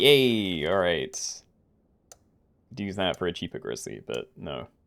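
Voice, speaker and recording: A man talks at a fairly slow pace with a very deep, low pitch and vocal fry. His pitch swings very widely. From UK. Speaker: video game streamer. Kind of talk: live gameplay commentary. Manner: thinking aloud, casual.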